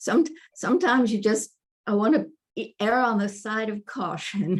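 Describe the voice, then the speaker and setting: A woman speaks at a moderate pace, somewhat breathy and fairly high in pitch, with ordinary pitch variation. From US Midwest, rural Kansas. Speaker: author. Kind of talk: interview. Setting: motel room, online call. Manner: halting.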